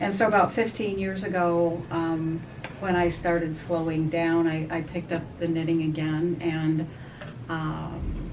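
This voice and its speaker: Fairly slow, fairly even delivery with audible room echo and noticeable background noise. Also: woman. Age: 70s. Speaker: knitting group member. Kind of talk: casual chat.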